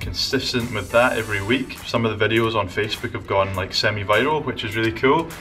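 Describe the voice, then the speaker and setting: A man with a Scottish accent at a very fast pace, ordinary pitch variation, music in the background. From Scotland. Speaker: vlogger and entrepreneur. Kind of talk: casual talk to camera. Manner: upbeat, enthusiastic.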